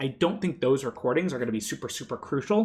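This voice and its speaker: With lively intonation, a man speaks against a quiet background. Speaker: university instructor. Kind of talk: pre-recorded lecture. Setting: pre-recorded online video. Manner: fast. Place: home room.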